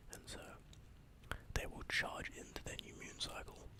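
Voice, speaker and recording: The speaker is whispering. The pace is fairly slow. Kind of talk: ASMR horoscope reading, tongue-in-cheek. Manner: whispered, tranquil.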